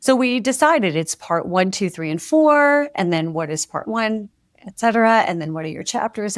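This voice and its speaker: A woman speaks at medium pitch with very wide pitch swings. The recording is very clean, with a silent background. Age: 60s. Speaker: author and former music publishing executive. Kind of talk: podcast interview.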